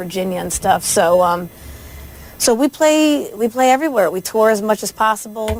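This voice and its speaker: Woman with a New Jersey accent at a fairly quick pace, ordinary pitch variation, and noticeable background noise. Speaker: country singer. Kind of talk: radio interview. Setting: radio studio.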